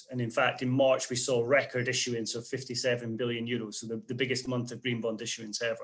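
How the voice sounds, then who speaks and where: Very fast and monotone with flat intonation, a man talks in a Scottish accent. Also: medium pitch for a man, hardly any pauses. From Scotland. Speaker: investment portfolio manager. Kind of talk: interview.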